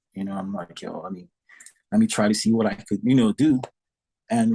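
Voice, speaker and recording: A man is speaking. His tone is dark and mellow. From Saint Lucia. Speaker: drummer. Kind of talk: podcast interview. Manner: animated.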